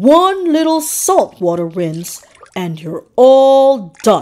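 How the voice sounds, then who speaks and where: Putting on a character voice, a woman speaks high in pitch at a very slow pace with very wide pitch swings. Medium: read story. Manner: excitable.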